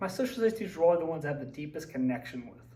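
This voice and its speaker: The pitch varies in an ordinary way. Noticeable background noise and audible room echo run through the clip. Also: man. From West Virginia, Braxton County. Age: 20s. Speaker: social studies teacher. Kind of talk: personal presentation / slideshow talk. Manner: casual, with fillers and hesitations.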